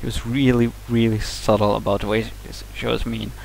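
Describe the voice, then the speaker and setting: With a Swedish accent, a man talks at a moderate pace. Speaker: vlogger. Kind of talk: casual vlog monologue. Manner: halting, many fillers and restarts.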